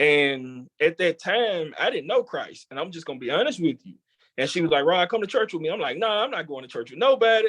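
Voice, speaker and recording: A man with an American accent talks at a fairly quick pace in a high pitch, with very wide pitch swings and big swings in loudness. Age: 30s. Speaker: chef and culinary educator. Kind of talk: interview testimony.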